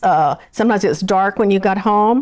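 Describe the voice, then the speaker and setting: With a Texan accent, a woman speaks at a moderate pace in a medium pitch, her pitch varying in an ordinary way. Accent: Texan Southern US. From Texas. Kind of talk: oral history interview. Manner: halting.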